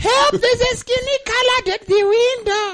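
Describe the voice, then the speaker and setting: A put-on character voice, female-sounding and extremely high in pitch for a woman. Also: moderate pace. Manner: alarmed, calling for help.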